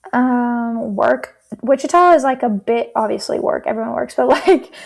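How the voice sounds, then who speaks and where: At a moderate pace, a woman speaks in a high voice with a slight Southern US accent. Her pitch moves in an ordinary way. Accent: slight Southern twang. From southern Kansas, Oklahoma border. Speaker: therapist turned life coach. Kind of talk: casual chat.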